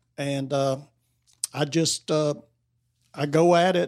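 A man with an Appalachian accent, fairly high pitch and ordinary pitch variation, in a very clean recording with a silent background. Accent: US Southern (Appalachian North Carolina). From North Carolina. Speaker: novelist. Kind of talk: casual interview. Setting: bookstore with live audience. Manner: halting, many fillers.

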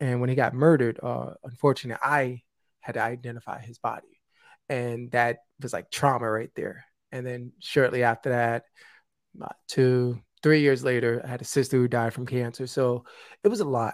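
In a New York accent, a man speaks at a medium pitch and moderate pace with fairly even intonation and big swings in loudness, on a very clean recording with a silent background. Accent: New York (Bronx). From US, South Bronx, New York City. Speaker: suicide prevention speaker and podcast host. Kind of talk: interview, personal testimony.

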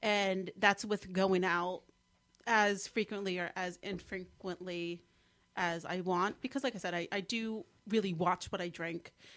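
A woman with a slight New Jersey accent speaks at a fairly slow pace and medium pitch, with fairly even intonation. The recording is very clean, with a silent background. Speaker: guest, social media weight-loss blogger. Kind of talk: casual chat.

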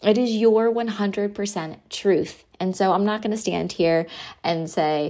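Medium-pitched speech from a woman, with ordinary variation in pitch. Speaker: hairstylist business coach and podcast host. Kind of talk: solo podcast monologue, coaching talk.

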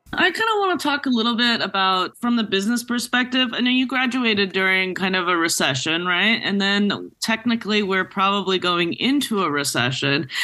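A woman talks fairly quickly at a medium pitch, with hardly any pauses and very even loudness. She has a plain, everyday voice and lively intonation. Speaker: podcast co-host, cinematographer. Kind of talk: podcast intro and outro.

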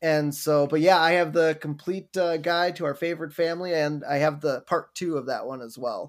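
Hardly any pauses break this man's fairly high pitch and fairly even intonation as he talks at a moderate pace in a plain, everyday voice. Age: 30s. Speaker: podcast host. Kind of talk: casual chat.

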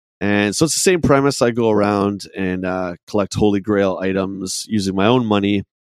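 A man speaks at a moderate pace with hardly any pauses, in an unremarkable speaking voice. His pitch is fairly low and his intonation fairly even. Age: 40s. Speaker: documentary filmmaker and collector. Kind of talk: casual chat.

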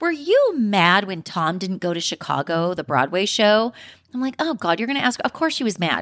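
Her tone is animated, with very wide pitch swings around a medium pitch, at a moderate pace. The woman's recording is very clean, with a silent background. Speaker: podcast host. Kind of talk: casual chat about reality TV. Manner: animated, chatty.

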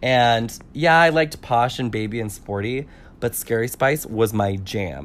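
An unremarkable speaking voice from a man with an American accent, medium in pitch, lively in intonation, at a fairly slow pace. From California. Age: 30s. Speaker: podcast guest. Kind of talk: casual chat.

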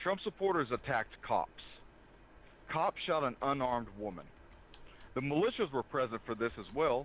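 Speaking at a moderate pace with an American accent, a man uses lively intonation and takes long, frequent pauses. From US South. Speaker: federal law enforcement officer. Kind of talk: interview analysis. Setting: remote call. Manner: calm.

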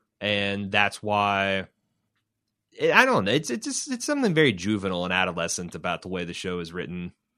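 A man's bright, sharp, fairly low voice with a slight Midwestern accent, at a fairly quick pace with ordinary pitch variation, over a quiet background. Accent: slight Midwestern, cowboy-like twang. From US Midwest. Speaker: podcast host. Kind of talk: casual banter, co-hosted podcast.

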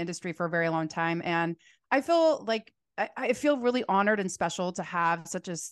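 With a General American accent, a woman speaks at a fairly quick pace over a quiet background. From US Southwest, Phoenix. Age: 40s. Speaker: salon owner and hairstylist educator. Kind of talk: casual chat. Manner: fast talker.

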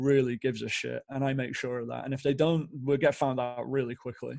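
With a British accent, a man speaks at a fairly quick pace in a fairly high pitch, his tone dark and mellow and his intonation monotone and flat. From northern England, Stockport near Manchester. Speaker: amateur soccer league organizer. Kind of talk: casual chat.

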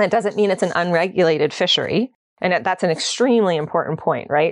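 With a Canadian accent and a normal speaking voice, a woman talks at a fairly quick pace in a fairly low pitch with ordinary pitch variation, the sound dry and close with no echo against a quiet background. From Ontario, Canada. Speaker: associate professor, ocean governance researcher. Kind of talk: interview.

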